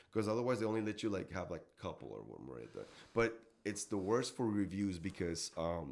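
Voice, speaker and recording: A man's fairly low voice in a Mexican accent, with lively intonation at a moderate pace. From Mexico, Tijuana. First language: Spanish. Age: 40s. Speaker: gigging musician. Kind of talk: casual chat. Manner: halting.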